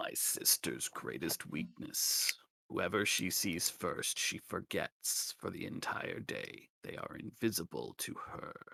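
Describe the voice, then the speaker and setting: In a put-on character voice, a man whispers croakily at a fairly slow pace with hardly any pauses. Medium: actual play. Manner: whispering.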